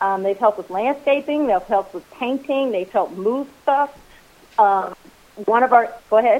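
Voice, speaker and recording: A woman with an American accent and a normal speaking voice talks at a moderate pace and a fairly high pitch. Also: ordinary pitch variation. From rural US, farming family. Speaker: Airbnb host. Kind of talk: casual chat.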